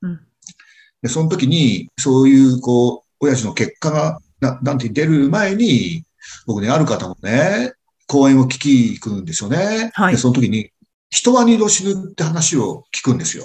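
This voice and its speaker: Somewhat breathy and fairly high in pitch, a man speaks at a moderate pace with very wide pitch swings. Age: 60s. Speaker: restaurant owner and lecturer. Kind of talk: casual chat.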